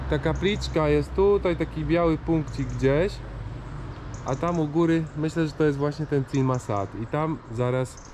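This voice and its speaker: Noticeable background noise is present throughout. Over it, this man talks at a moderate pace. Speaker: hiking vlogger. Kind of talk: casual vlog chat. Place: street. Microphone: phone near.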